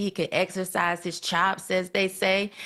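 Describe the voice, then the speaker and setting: A woman with a Southern US accent talks at a medium pitch and moderate pace against a quiet background. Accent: Southern country. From US South. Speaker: podcast guest commentator. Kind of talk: casual chat.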